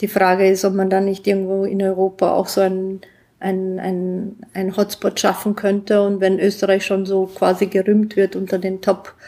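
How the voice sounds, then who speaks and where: A woman's dark, mellow voice at medium pitch, flat and monotone in intonation. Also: moderate pace. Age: 40s. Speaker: innovator and entrepreneur. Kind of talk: interview.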